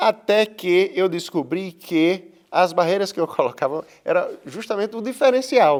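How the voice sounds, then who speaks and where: The pace is fairly slow with hardly any pauses. Intonation is lively. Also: man, high pitch for a man. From Brazil, Rio Grande do Norte (Seridó, Currais Novos). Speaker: painter. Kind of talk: interview. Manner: halting, with repetitions.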